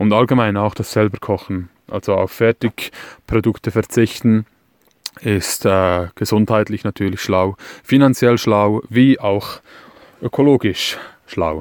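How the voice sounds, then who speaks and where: Dry and close with no echo, this recording has a man speaking at a very slow pace. His pitch is fairly low and his intonation fairly even. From Switzerland. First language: Swiss German (speaking German). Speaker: van dweller. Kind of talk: recorded tips monologue.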